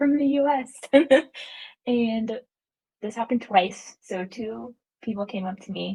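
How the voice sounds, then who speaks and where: A woman's fairly high, somewhat breathy voice with a dark, mellow tone, in an Atlanta accent. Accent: American, Atlanta. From US South. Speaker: guest on podcast. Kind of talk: casual chat.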